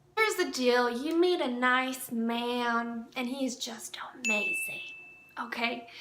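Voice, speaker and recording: A woman uses a raised, projected voice with lively intonation and a warm tone. Her pitch is high, and noticeable background noise is present. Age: 20s. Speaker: mental health professional and dating advice vlogger. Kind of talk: casual dating advice talk to camera. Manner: warm, chatty.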